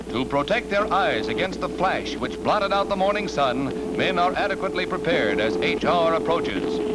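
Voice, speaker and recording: Through noticeable background noise, a man keeps a very even loudness at a moderate pace while his pitch swings very widely. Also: medium pitch for a man, hardly any pauses. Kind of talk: newsreel narration. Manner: dramatic.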